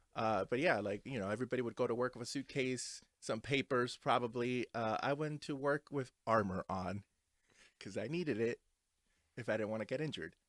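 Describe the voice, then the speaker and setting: On a very clean recording with a silent background and a dry, close sound with no echo, a man talks at a fairly quick pace with ordinary pitch variation. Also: medium pitch for a man. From New Jersey, mostly North Jersey (immigrated at seven). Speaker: podcast co-host. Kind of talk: casual chat. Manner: halting, many fillers.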